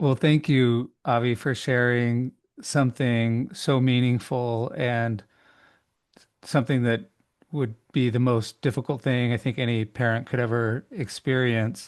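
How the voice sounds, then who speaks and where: A man speaks at a fairly slow pace in a plain, everyday voice with a medium pitch. His intonation is fairly even and his loudness very even. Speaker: podcast host. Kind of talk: interview.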